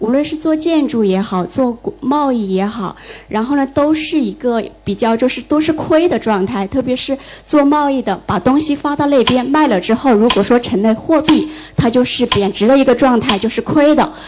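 A woman with a high voice speaks at a moderate pace and with lively intonation over noticeable background noise. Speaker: audience member, former translator. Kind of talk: audience question.

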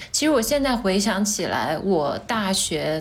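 Audible room echo surrounds a woman's voice. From Changsha, Hunan, China. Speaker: podcast co-host appearing as guest. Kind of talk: casual chat.

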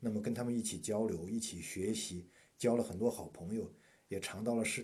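A man with a plain, everyday voice talks at a fairly quick pace, his fairly low pitch held in fairly even intonation. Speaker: university professor. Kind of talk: casual interview chat.

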